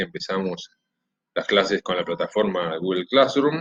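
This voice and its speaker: A fairly low-pitched man's voice at a very fast pace. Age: 40s. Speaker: history teacher. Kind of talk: recorded class introduction to students. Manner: casual, with hesitations.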